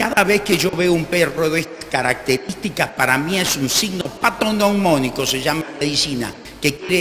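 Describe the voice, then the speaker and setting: A man talks at a moderate pace with lively intonation and a fairly high pitch, while room echo and noticeable background noise are audible. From Argentina, Buenos Aires. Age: 60s. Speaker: doctor and panelist. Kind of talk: conference talk with slides.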